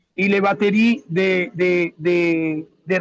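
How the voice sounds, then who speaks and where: The sound is dry and close, with no echo. A man with a Spanish accent speaks at a high pitch with ordinary pitch variation. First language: Spanish (speaking French). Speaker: local resident in disaster zone. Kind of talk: webinar testimony. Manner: halting.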